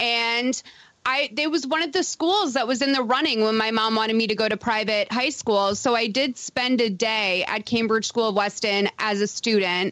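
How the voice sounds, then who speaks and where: A woman with an American accent speaks at a moderate pace in a bright, sharp tone. Her pitch is fairly high, with ordinary pitch variation. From Massachusetts, Boston area (Lexington). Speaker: comedy writer guest. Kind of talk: casual comedic chat.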